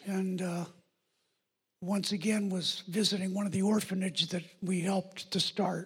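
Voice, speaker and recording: This man's voice is high-pitched, with a monotone, flat intonation. He keeps a moderate pace but leaves long, frequent pauses. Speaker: pastor. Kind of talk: sermon. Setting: church.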